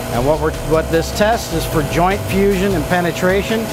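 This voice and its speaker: A man talks at a moderate speed while clear music sounds behind him. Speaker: welding instructor. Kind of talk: tutorial. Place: workshop. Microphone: lapel.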